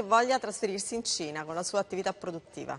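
A woman talks at a very fast pace. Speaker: TV news show host. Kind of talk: TV news talk show. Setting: TV studio.

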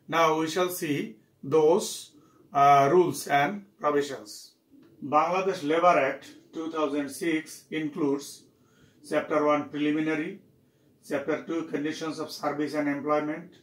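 Room echo is audible around the speaker. The pace is fairly slow and the intonation fairly even. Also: man. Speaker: university lecturer. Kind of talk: lecture. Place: office.

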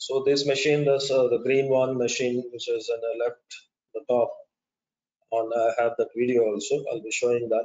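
With an Indian accent, a man speaks at a moderate pace and medium pitch, his intonation monotone and flat. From India, Chennai. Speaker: wind turbine engineer and webinar speaker. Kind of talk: webinar presentation. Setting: online webinar with slides. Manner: halting, hesitant with fillers. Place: home room.

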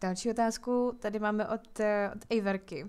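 Here is an ordinary speaking voice. It moves at a fairly quick pace with fairly even intonation. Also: woman. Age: 20s. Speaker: gaming YouTuber. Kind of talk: casual Q&A chat while gaming.

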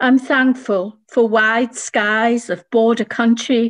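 A woman's fairly high voice at a very slow pace, with fairly even intonation and a quiet background. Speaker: poet working in domestic violence support. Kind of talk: poetry reading. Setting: video call. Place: home room. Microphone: video call.

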